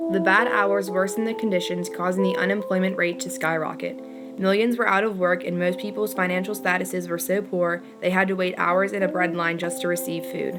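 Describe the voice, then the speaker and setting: With music in the background, a woman talks fairly quickly. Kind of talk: educational history narration.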